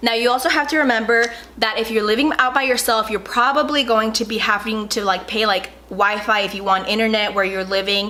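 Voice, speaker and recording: A woman's animated, fairly high-pitched voice against noticeable background noise. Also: ordinary pitch variation, fairly quick pace, hardly any pauses. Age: young. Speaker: YouTuber. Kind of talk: casual advice vlog. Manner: fast.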